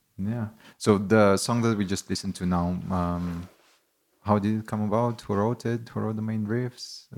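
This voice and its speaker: A man with an unremarkable speaking voice keeps a fairly low pitch and fairly even intonation, recorded very cleanly against a silent background. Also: moderate pace. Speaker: podcast host. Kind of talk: casual interview. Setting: studio in a pedal shop.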